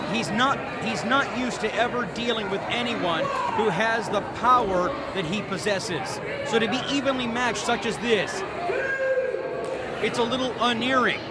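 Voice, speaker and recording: A man at a moderate pace with long, frequent pauses, in a dry sound with no echo over loud background noise. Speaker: wrestling commentator. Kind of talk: live wrestling play-by-play commentary. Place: hall.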